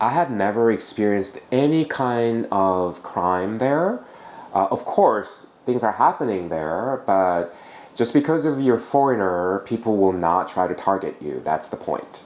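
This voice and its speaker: A man with a Korean accent speaks at a fairly slow pace. His pitch is medium and his intonation lively. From South Korea. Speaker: travel vlogger. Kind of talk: casual chat.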